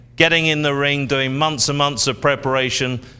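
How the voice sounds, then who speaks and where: This man speaks with an English accent. His fairly high voice has a bright, sharp tone. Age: 60s. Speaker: auctioneer. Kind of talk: live auction presenting.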